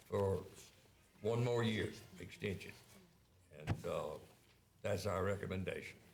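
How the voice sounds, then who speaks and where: A man speaks in a monotone, flat intonation at a fairly slow pace with long, frequent pauses, amid audible room echo and noticeable background noise. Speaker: council member. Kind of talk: committee report. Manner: hesitant with fillers.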